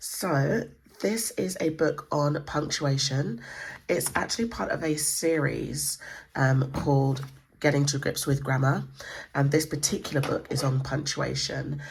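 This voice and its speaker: The speaker has an English accent and talks at a fairly slow pace. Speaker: homeschool book reviewer. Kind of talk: book flip-through tutorial. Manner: hesitant, many fillers.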